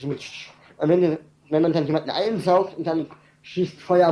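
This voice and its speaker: Speaking fairly slowly, a man uses a fairly high pitch. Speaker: caller. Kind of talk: casual chat. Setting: internet call.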